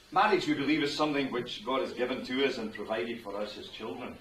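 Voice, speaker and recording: Through audible room echo and noticeable background noise, a man with a Scottish accent talks at a very fast pace in a medium pitch. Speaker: wedding minister. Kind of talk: wedding address. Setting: wedding ceremony with guests. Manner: conversational, humorous.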